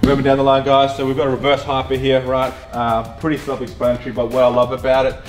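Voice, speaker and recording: Over faint background music, a man speaks at a very fast pace. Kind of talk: casual tour commentary. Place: gym.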